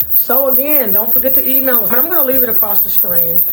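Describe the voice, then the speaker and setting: A woman talks at a fairly quick pace with ordinary pitch variation, backed by music in the background and audible room echo. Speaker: online business show host, foreclosure help. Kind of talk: direct-to-camera talk. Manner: casual, energetic.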